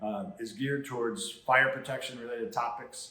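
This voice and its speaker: Audible room echo surrounds a man speaking with an American accent. He talks at a moderate pace with lively intonation. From Chicago, south side. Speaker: podcast host. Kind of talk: casual interview chat. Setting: standing in a training center.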